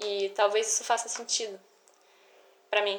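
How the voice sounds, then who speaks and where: The speech moves at a fairly quick pace while noticeable background noise sounds behind it. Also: woman. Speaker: podcaster. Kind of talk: casual monologue. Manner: animated.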